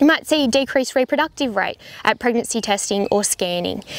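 With an Australian accent, a woman speaks in a high pitch, the sound dry with no echo. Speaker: veterinarian. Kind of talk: informational talk to camera. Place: farm machine.

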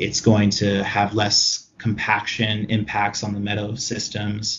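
A man's fairly low, somewhat breathy voice at a fairly slow pace. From Hawaii. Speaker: restoration consultant. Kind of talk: interview.

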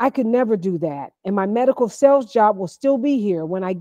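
Over a quiet background, someone does plain reading aloud with lively intonation.

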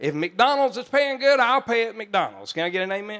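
A man talks at a fairly quick pace in an animated, warm tone. His pitch swings very widely. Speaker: pastor. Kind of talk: sermon. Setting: church. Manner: animated, warm and jokey, laughing as he preaches; folksy, conversational, with country turns of phrase. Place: church. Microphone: handheld.

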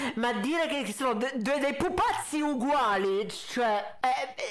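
Over faint background noise, a man speaks fairly slowly in an extremely high voice with a fairly bright tone and ordinary pitch variation.

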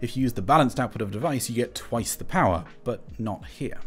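The man's speech rushes along very fast. Behind him, music plays faintly. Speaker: audio gear reviewer. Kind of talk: review commentary. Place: studio. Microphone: studio mic.

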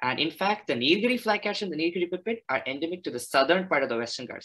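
The speech comes at a very fast pace with very wide pitch swings. The background is quiet. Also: man. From India, Chennai; India. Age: 20s. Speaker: naturalist and graduate student; presenter. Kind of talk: presentation. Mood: enthusiastic, friendly. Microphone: video call.

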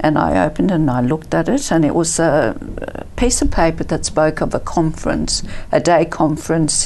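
A woman's very deep, low pitch with vocal fry. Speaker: interview guest. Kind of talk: interview answer. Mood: warm, reflective. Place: studio.

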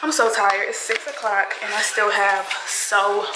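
A woman speaks against loud background noise. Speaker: beauty vlogger. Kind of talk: casual vlog chat. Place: home room. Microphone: phone near.

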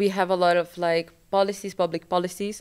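A woman talks in a Brazilian accent with fairly low pitch at a moderate pace. The recording is very clean, with a silent background. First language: Portuguese. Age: 20s. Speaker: graduate student. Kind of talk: panel discussion. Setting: event hall with live audience.

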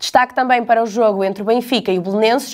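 A woman speaks against a quiet background. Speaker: newsreader presenting press review. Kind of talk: newsreading: a brisk, scripted press-review bulletin read headline by headline. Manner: formal, even and businesslike, with crisp news-anchor delivery.

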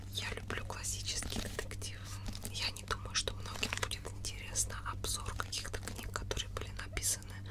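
A soft-spoken woman whispering at a moderate pace. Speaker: ASMR creator. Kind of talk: soft-spoken book show-and-tell. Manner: soft close-mic ASMR whisper. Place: home room. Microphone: studio mic.

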